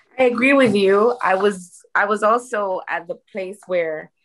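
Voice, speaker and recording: A woman with ordinary pitch variation. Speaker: audience member. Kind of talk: audience question. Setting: video call. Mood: earnest, reflective. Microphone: video call.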